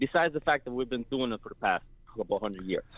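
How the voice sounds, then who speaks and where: A man talks at a medium pitch with ordinary pitch variation, in an unremarkable speaking voice. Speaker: caller. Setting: phone call.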